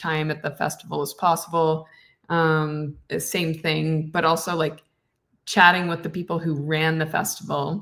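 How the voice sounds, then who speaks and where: This woman has a very deep, low voice and a Canadian accent. She speaks at a moderate pace in a monotone, flat way, in a very clean recording with a silent background. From Canada. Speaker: actress and voice actor. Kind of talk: podcast interview answer. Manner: casual, chatty.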